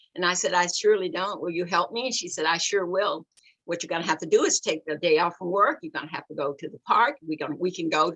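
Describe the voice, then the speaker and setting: A woman's bright, sharp voice in an Alabama accent at a fairly quick pace, dry and close with no echo. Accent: Southern US (Alabama). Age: 70s. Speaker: activist and author. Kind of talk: book discussion interview.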